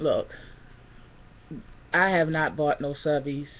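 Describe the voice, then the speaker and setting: A woman's very deep, low voice at a fairly slow pace. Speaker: vlogger. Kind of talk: casual vlog chat, venting. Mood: annoyed, defiant. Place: home room. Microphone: webcam.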